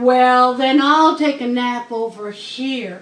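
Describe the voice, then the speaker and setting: Putting on a character voice, a woman draws out her words at a very slow pace in a high pitch. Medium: read story. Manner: plain, earnest.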